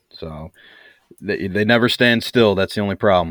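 Speaking fairly quickly with an American accent, a man keeps his intonation fairly even. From US Midwest. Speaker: bowhunter. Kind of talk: casual chat.

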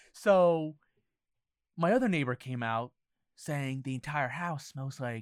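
The recording is very clean, with a silent background and a dry, close sound with no echo. A man speaks at a fairly high pitch and a fairly slow pace, with ordinary pitch variation. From New Jersey, US (Summit). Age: 20s. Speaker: cannabis consumer and travel blogger. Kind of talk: casual chat. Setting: studio.

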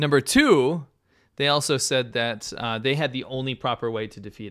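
The pace is fairly quick as a man speaks. His voice sits at a medium pitch and varies in an ordinary way. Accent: American. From US, New York. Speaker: podcast co-host. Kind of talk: casual chat.

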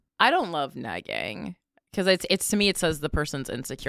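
On a very clean recording with a silent background and a dry, close sound with no echo, a woman speaks very fast with vocal fry. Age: 30s. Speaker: comedian and podcaster. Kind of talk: casual chat.

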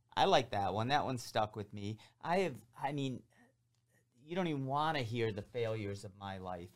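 In a very clean recording with a silent background, a man with an American accent speaks at a moderate pace with lively intonation and long, frequent pauses. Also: medium pitch for a man. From Metro Detroit, Michigan (Downriver). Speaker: podcast host. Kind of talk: casual interview. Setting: studio. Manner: animated.

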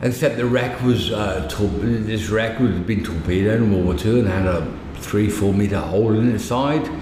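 Over noticeable background noise and audible room echo, a man speaks at a fairly low pitch. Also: ordinary pitch variation, moderate pace. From England, Midlands. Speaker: technical diving instructor. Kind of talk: casual chat. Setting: bar. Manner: halting.

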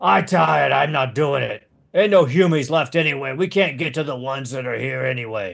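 Putting on a character voice, a man talks at a fairly quick pace and a medium pitch. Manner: complaining, lazy.

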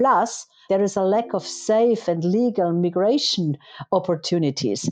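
In a German accent, a woman speaks at a moderate pace. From Germany. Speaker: politician. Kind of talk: interview. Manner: halting, many fillers.

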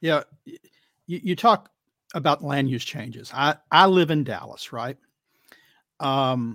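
With an American accent, a man speaks at a moderate pace and fairly high pitch, his lively intonation broken by long, frequent pauses, in a dry, close sound with no echo on a very clean recording with a silent background. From Texas. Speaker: climate policy commentator. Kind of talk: casual panel discussion. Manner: halting, many fillers.

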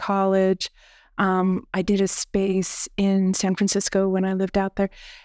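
The woman has an ordinary speaking voice at a medium pitch and talks at a fairly slow pace. The recording is very clean with a silent background, and the sound is dry and close with no echo. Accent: American. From Pennsylvania, near Gettysburg. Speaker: artist and curator. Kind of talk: interview. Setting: studio.

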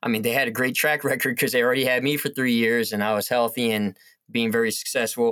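In an American accent, a man at medium pitch talks at a very fast pace, his intonation monotone and flat, his loudness very even and his tone bright and sharp. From US Northeast, northwest New Jersey. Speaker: educator. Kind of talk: casual interview.

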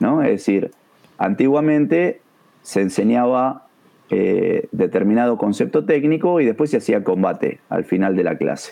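This is an unremarkable speaking voice with lively intonation. It moves at a fairly slow pace, and its loudness stays very even. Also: man, medium pitch for a man. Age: 50s. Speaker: taekwondo instructor. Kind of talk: educational discussion.

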